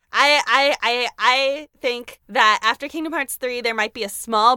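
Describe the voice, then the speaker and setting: A woman's animated, bright and sharp tone comes through a very clean recording with a silent background and a dry, close sound with no echo. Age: 20s. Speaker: podcast guest, video game fan. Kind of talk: casual chat.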